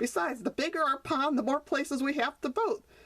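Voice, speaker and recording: A put-on character voice at a fairly quick pace. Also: woman, high pitch for a woman. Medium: read story.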